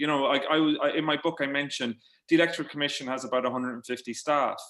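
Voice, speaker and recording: A man with an Irish accent and a bright, sharp tone, at a very fast pace. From Ireland, midlands. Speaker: journalist and author. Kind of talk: panel discussion webinar. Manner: halting, many repetitions.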